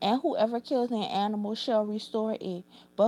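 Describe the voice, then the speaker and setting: In a New Orleans accent, a woman talks at a moderate pace with a fairly high pitch. Her tone is dark and mellow, and her intonation is fairly even. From New Orleans, Louisiana. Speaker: YouTuber. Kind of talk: reading aloud; casual chat. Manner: halting.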